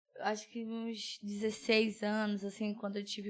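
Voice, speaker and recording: Her intonation is monotone and flat, and the woman's pitch sits fairly high. She talks at a moderate pace. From Brazil, Belém, Pará. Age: 20s. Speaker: nurse and church cell leader. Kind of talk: podcast interview testimony.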